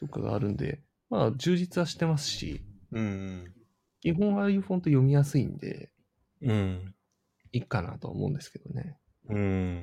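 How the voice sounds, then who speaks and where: The tone is dark and mellow, with very wide pitch swings and big swings in loudness. Delivery comes at a moderate pace with long, frequent pauses. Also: man, medium pitch for a man. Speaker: Android engineer. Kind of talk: casual chat.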